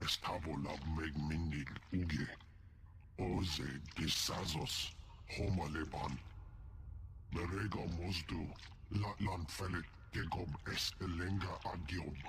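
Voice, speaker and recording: A man does a put-on character voice with a very deep, low pitch. He goes at a fairly slow pace, and background noise is clear. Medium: video game. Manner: speaks alien language throughout.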